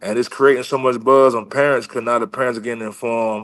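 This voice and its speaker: Over a quiet background, a man uses an ordinary speaking voice at medium pitch, with fairly even intonation and a moderate pace. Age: 40s. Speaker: former NFL offensive lineman and coach. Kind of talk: casual interview chat. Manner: casual, conversational.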